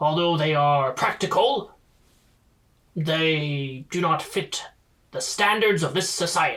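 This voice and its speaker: Putting on a character voice, a man adopts a pompous tone at a fairly high pitch, leaving long, frequent pauses. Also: fairly slow pace. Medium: actual play. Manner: formal, slightly pompous.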